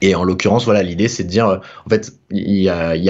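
The pitch of this man's voice is fairly low. His intonation stays fairly even. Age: 20s. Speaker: freelance developer. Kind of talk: casual interview. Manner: halting.

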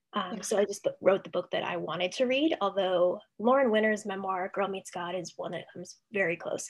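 A woman's normal speaking voice with an American accent, medium pitch and ordinary pitch variation, fairly quick with hardly any pauses. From Ohio, Cleveland suburbs. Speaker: author and freelance writer. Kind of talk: casual interview.

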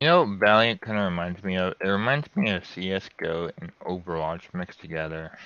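A man with a very deep, low pitch and a bright, sharp tone speaks at a moderate pace with hardly any pauses. His pitch varies in an ordinary way. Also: quiet background. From Turkey. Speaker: gaming podcast co-host. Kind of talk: casual chat.

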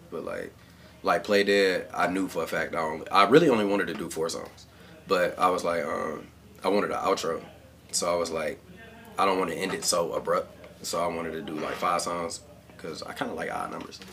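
A man speaks fairly quickly, and noticeable background noise is present throughout. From Cleveland, Ohio. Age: 20s. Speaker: rapper. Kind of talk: casual chat. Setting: home studio.

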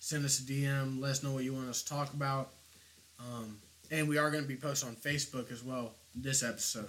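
Fairly quick and fairly even in intonation, this man has an unremarkable speaking voice at a medium pitch. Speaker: podcast host. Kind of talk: casual chat. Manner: casual, laid-back.

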